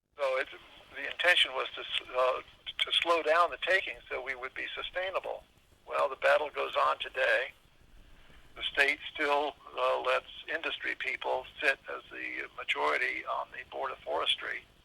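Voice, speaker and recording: A man speaks at a moderate pace with an American accent. Noticeable background noise runs behind him. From Southern California. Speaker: former longshoreman and county supervisor. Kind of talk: interview answer.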